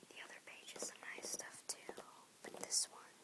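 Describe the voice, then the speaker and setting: This soft-spoken voice whispers at a moderate pace. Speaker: reader of a tactile book. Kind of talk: reading photo captions aloud from a book, casual comments. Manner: soft-spoken, whispered. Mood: interested, enthusiastic. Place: home room. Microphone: phone near.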